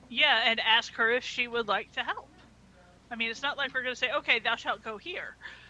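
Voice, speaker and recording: With a high pitch and ordinary pitch variation, a woman talks at a fairly quick pace. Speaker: tabletop game player. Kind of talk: casual game chat.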